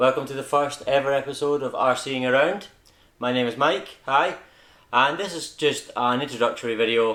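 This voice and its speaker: A man with a Scottish accent speaks at a moderate pace in a fairly high pitch, his intonation fairly even. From Scotland. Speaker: RC hobby YouTuber. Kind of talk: casual vlog introduction. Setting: at home. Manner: informal with filler words.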